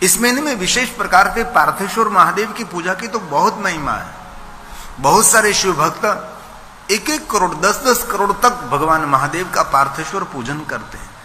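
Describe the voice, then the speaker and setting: A man's high-pitched, raised, projected voice with lively intonation over noticeable background noise. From Gujarat, India. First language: Gujarati (speaking Hindi). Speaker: religious storyteller (katha preacher). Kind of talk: religious discourse (katha).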